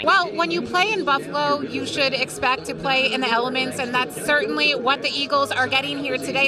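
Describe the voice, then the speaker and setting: Over crowd noise in the background, a woman with a high pitch uses a raised, projected voice at a fairly quick pace, with hardly any pauses. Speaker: sports reporter. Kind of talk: sideline report.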